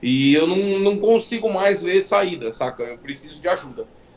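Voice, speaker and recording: Over noticeable background noise, a man talks at a high pitch with lively intonation. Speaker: car enthusiast. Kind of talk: casual chat. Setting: live stream.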